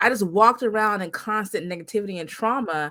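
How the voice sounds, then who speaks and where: A woman with a plain, everyday voice at a medium pitch and a moderate pace, lively intonation, and a very clean recording with a silent background. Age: 40s. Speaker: podcast host. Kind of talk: interview.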